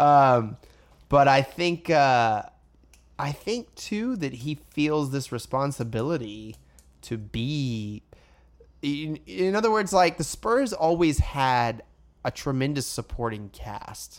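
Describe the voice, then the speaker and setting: Speaking at a very slow pace, a man uses lively intonation. His pitch sits fairly high. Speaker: sports podcast host. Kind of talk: casual chat.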